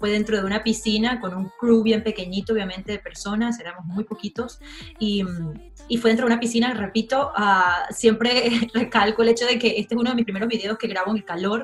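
A woman with a Venezuelan accent speaks at a fairly quick pace in a fairly high pitch, her intonation fairly even, with faint music in the background. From Margarita Island, Venezuela. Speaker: singer. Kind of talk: interview answer. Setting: home video call. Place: home room. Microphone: video call.

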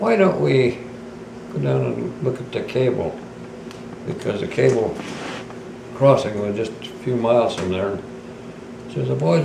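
Moderate-paced speech from a man over noticeable background noise. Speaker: interviewee. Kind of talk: interview answer, storytelling. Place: home room. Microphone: camera far.

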